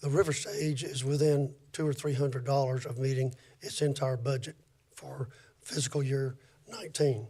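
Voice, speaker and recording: A man speaks at a moderate pace with a fairly high pitch. His voice is somewhat breathy, with ordinary pitch variation. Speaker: city staff presenting finances. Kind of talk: public board meeting report. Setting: city board meeting. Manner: halting, many fillers.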